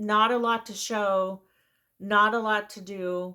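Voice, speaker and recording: On a very clean recording with a silent background, a woman with an American accent speaks very slowly at a medium pitch, her bright, sharp tone set in a monotone, flat intonation. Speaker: knitting podcaster. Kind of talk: casual chat. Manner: rambling, casual.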